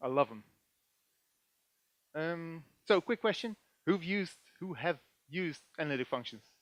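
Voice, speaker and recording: A man with a Dutch accent speaks at a fairly high pitch with lively intonation. The sound is dry and close, with no echo. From Netherlands. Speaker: database developer and conference speaker. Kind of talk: technical conference talk. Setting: stage with audience. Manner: animated; hesitant, many filler sounds.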